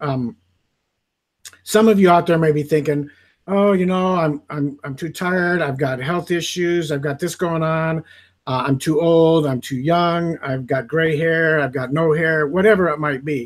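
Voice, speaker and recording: Here is a man with a plain, everyday voice, pitched fairly high. He goes at a fairly slow pace with fairly even intonation. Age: 60s. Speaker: network marketing affiliate. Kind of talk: testimony. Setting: live video stream.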